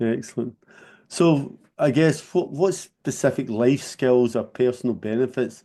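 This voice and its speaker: A man delivers an unremarkable speaking voice fairly slowly, his pitch moving in an ordinary way. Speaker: karate school founder. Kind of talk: interview questions.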